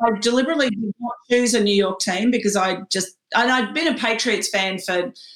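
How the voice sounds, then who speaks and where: The voice comes with an Australian accent at a fairly quick pace and hardly any pauses. Pitch variation is ordinary. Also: woman, fairly high pitch for a woman. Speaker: HR executive. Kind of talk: interview. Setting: home spare room, remote. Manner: hesitant, many fillers.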